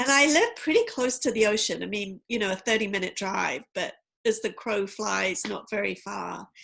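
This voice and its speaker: A woman speaks with a London accent at a moderate pace. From England, East End of London. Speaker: tarot and oracle card reader. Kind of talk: interview conversation.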